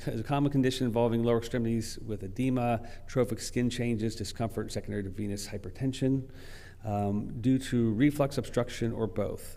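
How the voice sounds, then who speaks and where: Audible room echo surrounds a man's dark, mellow voice, pitched medium and delivered with fairly even intonation. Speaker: vascular specialist presenting at a conference. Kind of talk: conference lecture.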